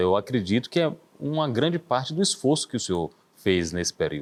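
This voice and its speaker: At a fairly quick pace, a man with a medium-pitched voice swings his pitch very widely. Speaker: TV interview host. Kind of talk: TV talk show hosting.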